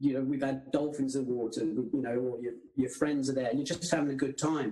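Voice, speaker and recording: A man talks at a very fast pace, his medium pitch held in a fairly even intonation. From England, military family, childhood partly abroad. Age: 60s. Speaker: surfer, former surfing champion. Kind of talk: casual interview chat.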